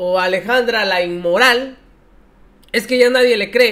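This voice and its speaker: An extremely high-pitched man's voice with a bright, sharp tone and a quiet background. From Mexico. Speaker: political commentary youtuber. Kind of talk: political commentary. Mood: mocking, scornful. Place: home room. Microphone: headset.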